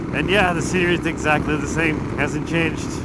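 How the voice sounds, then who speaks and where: Noticeable background noise and audible room echo surround a man speaking at a fairly quick pace. His pitch is fairly high, with ordinary variation. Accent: American. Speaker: motorcycle travel vlogger. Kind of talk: vlog narration while travelling.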